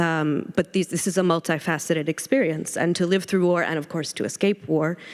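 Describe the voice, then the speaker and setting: Speaking with an American accent, a woman talks at a fairly quick pace. Her pitch is fairly low, with ordinary variation. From United States. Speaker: panel moderator. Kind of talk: panel discussion. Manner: hesitant, many fillers.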